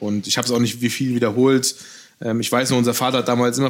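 A man talking very fast in a flat, monotone delivery. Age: 30s. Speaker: pastry chef. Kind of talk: interview conversation. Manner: hesitant fillers.

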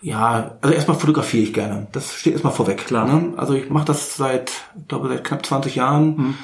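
Through noticeable background noise, a man with a Berlin accent speaks at a fairly quick pace in a fairly high pitch. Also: ordinary pitch variation. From Berlin, Germany. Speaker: wedding and school photographer. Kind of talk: casual chat.

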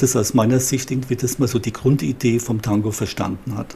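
The man's voice sits at a medium pitch and keeps a moderate pace. Intonation remains fairly even throughout. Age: 60s. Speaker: psychologist. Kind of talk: interview. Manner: halting, with repeated words.

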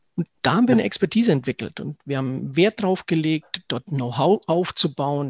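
Against a quiet background, a man with an ordinary speaking voice and a fairly high pitch talks at a moderate pace, the sound dry and close with no echo. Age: 40s. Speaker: financial advisor. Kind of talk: interview.

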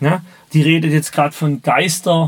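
A man talks in a somewhat breathy voice at a fairly high pitch. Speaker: business mentor. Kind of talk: interview. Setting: podcast studio.

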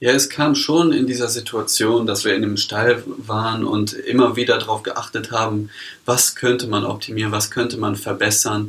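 A man with a medium-pitched voice speaks at a moderate pace with fairly even intonation. There is noticeable background noise. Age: 20s. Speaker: startup founder. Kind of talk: interview.

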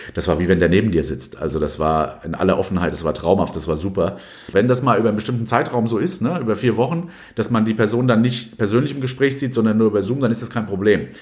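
A man speaks very fast with a fairly low pitch. His intonation is lively. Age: 40s. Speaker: sports journalist, newspaper sports editor. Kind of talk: interview. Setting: recorded at his home. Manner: frequent hesitations (äh).

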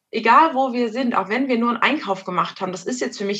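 Speaking at a fairly quick pace with ordinary pitch variation, a woman has a plain, everyday voice. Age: 30s. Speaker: mother. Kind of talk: casual interview.

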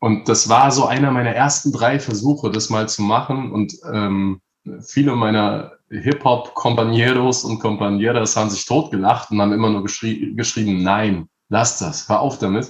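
A man speaks at a moderate pace with ordinary pitch variation and a medium pitch. He has an ordinary speaking voice. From Palatinate, Germany. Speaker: rapper. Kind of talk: casual chat.

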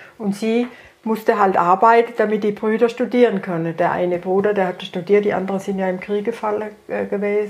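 A woman at medium pitch, speaking in a flat monotone at a fairly quick pace, with noticeable background noise. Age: 80s+. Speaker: retired grandmother. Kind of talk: casual family conversation.

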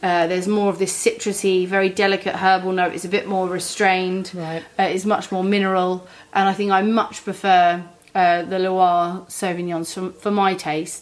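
Delivered at a moderate pace, the speech has a British accent and a monotone, flat intonation. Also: woman, medium pitch for a woman. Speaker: podcast host, wine trade professional. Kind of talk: casual chat about wine.

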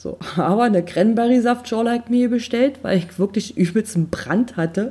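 A plain, everyday voice from a woman, fairly quick in pace, its pitch varying in an ordinary way. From eastern Germany. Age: 30s. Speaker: podcast host. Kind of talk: casual monologue.

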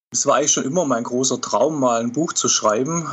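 A man's medium-pitched voice with ordinary pitch variation at a fairly quick pace, against noticeable background noise. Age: 40s. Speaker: author and football fan. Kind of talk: casual interview.

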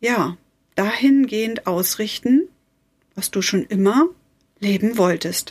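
Her intonation lively, a woman speaks in a fairly high voice. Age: 40s. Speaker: life coach / podcast host. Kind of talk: motivational podcast monologue. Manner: warm, emotive.

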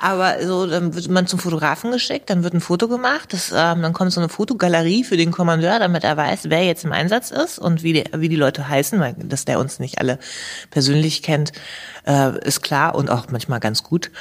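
A woman with a plain, everyday voice speaks fairly quickly at a fairly low pitch with lively intonation. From Hannover area, Germany. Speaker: professional soldier and author. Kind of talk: interview.

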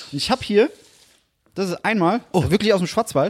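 Fairly quick and animated, a man speaks at a high pitch with a dry, close sound and no echo. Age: 20s. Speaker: podcast co-host. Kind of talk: casual chat.

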